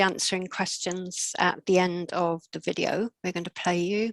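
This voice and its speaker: A woman's unremarkable speaking voice, medium-pitched, in a dry, close sound with no echo. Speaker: librarian, event host. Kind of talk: online event interview host.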